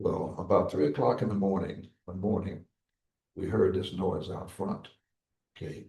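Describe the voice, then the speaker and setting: A man speaks in a very deep, low voice with a dark, mellow tone and some breathiness. His pace is moderate, broken by long, frequent pauses. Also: ordinary pitch variation. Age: 90s. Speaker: Korean War veteran, former chaplain. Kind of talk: interview, war recollections. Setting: veterans memorial building, live broadcast. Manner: halting, repetitive.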